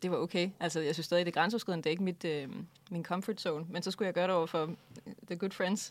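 A woman speaks very fast in a fairly low pitch, with fairly even intonation. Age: 20s. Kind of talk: casual interview. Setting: studio.

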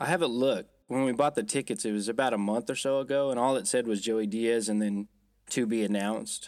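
Speaking at a fairly quick pace, this man has a normal speaking voice with a medium pitch and fairly even intonation. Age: 30s. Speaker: podcast co-host. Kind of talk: casual chat. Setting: travelling in Las Vegas, remote recording.

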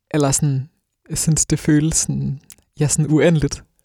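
In a dry, close sound with no echo, a man's fairly high voice has a dark, mellow tone, somewhat breathy and in a monotone, flat intonation. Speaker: radio host. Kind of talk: casual chat. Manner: hesitant, filler words.

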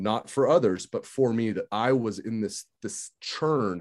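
Spoken in an unremarkable speaking voice with an American accent, the clip has ordinary pitch variation against a quiet background. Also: man. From Santa Rosa, California. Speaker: hospitalist and podcast host. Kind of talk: casual podcast interview.

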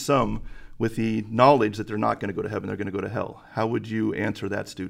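A man's voice with vocal fry and ordinary pitch variation, on a very clean recording against a silent background. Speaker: church elder and high school Bible teacher. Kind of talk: podcast host moderating Q&A.

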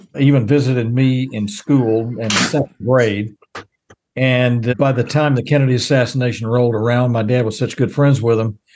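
A man with a Texan accent speaks at a moderate pace. His medium-pitched voice stays flat and monotone. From Texas, small town south of Dallas. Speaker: baseball radio announcer and former news reporter. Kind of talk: interview.

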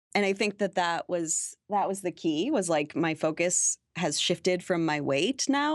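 A woman with an ordinary speaking voice at a fairly low pitch and a moderate pace, dry and close with no echo, in a very clean recording with a silent background. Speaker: blogger and playwright. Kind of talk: interview.

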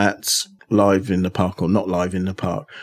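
On a very clean recording with a silent background, a man talks in a southern English accent. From Aylesbury, southern England. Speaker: podcast host. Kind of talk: podcast hosting and interviews. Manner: upbeat.

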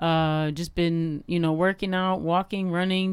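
With an American accent, a woman speaks at medium pitch in a monotone, flat intonation. The recording is very clean, with a silent background. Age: 40s. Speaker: cultural activist and podcaster. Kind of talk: casual chat.

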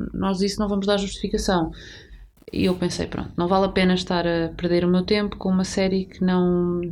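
Fairly fast delivery pairs with monotone, flat intonation. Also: woman, medium pitch for a woman. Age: 30s. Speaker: podcast co-host. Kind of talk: casual chat.

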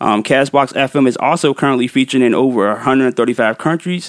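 An ordinary speaking voice at a moderate pace, with ordinary pitch variation and a dry, close sound with no echo. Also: man. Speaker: music podcast host and DJ. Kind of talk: podcast hosting with mix show and interview. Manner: casual, laughs often, conversational.

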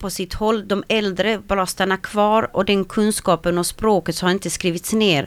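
On a very clean recording with a silent background, a woman talks at a moderate pace in a monotone, flat intonation. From Sweden, arrived from Slovakia at six. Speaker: Roma women's organization founder. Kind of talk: radio interview. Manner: hesitant, many fillers.

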